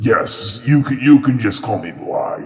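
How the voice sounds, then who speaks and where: A man performs a put-on character voice. It sits at a fairly high pitch. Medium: actual play. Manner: speaks into the listener's mind.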